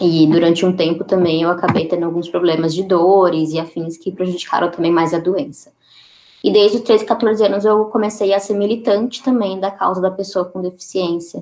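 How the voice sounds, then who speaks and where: With a normal speaking voice, a woman talks at a moderate pace, her fairly low pitch showing ordinary variation. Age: 20s. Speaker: activist and photographer. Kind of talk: interview.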